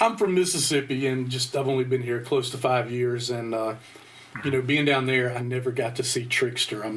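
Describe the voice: A man of medium pitch with a Southern US accent, at a moderate pace with fairly even intonation, amid noticeable background noise. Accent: Southern American.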